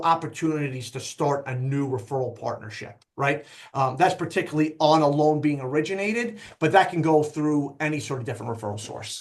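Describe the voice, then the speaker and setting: In a New York accent, the voice moves at a fairly quick pace with ordinary pitch variation. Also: man. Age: 40s. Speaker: loan officer. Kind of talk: casual interview.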